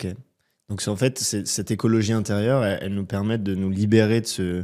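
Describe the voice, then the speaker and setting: The voice is monotone and flat, moving at a fairly quick pace. It is a very clean recording with a silent background. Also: man, fairly low pitch for a man. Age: 20s. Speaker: podcast host. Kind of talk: interview conversation.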